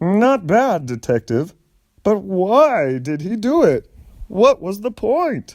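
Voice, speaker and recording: A man's put-on character voice, high-pitched, very slow, with very wide swings in pitch. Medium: read story. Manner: defensive.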